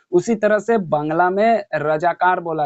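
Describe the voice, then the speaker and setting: High pitch from a man, with pitch moving in an ordinary way. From Kolkata, India (Bihari family). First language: Bhojpuri (speaking Hindi). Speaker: reaction video commentator. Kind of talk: reaction commentary.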